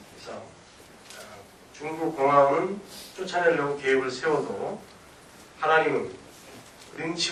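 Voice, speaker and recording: Over noticeable background noise and audible room echo, a man with a fairly high pitch speaks at a fairly slow pace with ordinary pitch variation. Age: 50s. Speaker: missionary preacher. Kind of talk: sermon. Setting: church.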